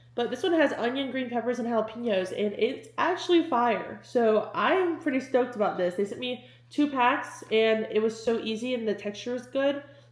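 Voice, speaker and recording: A woman talks in a high pitch with lively intonation and hardly any pauses. Noticeable background noise is present. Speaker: lifestyle and fitness vlogger. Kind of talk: casual vlog talking to camera. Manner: fast; animated.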